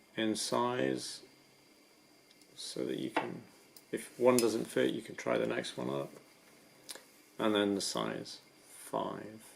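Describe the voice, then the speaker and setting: Soft-spoken and very slow, a man talks with very wide pitch swings and long, frequent pauses. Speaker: rock climber. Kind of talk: ASMR gear description.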